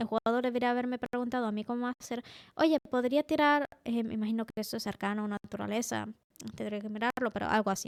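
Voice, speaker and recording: This woman speaks very fast, her pitch fairly high and her intonation fairly even. The sound is dry and close, with no echo. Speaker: tabletop role-playing game master and YouTuber. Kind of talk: improvised tutorial monologue. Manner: casual, with frequent filler sounds.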